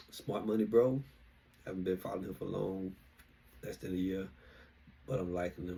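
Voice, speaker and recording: A man's very deep, low pitch, dark and mellow in tone, somewhat breathy, with a Southern US accent. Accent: southern drawl. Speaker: investing vlogger. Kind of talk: casual monologue. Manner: halting.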